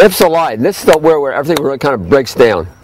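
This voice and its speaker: Noticeable background noise fills the recording. Through it, a man talks with a fairly high pitch. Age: 60s. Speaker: health food store owner. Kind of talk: casual explainer talk. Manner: halting.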